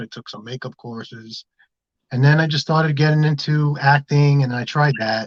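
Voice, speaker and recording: Against a quiet background, a man with a New York accent is heard in a dry, close sound with no echo. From Bronx, New York. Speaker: filmmaker. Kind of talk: casual interview.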